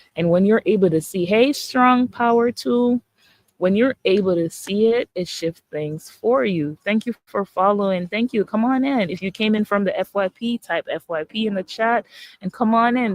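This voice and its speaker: In a Jamaican accent, a woman speaks at a medium pitch with ordinary pitch variation, the sound dry and close with no echo. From Jamaica, Saint Catherine. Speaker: holistic coach. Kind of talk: live-stream motivational talk. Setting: social media live stream. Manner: animated.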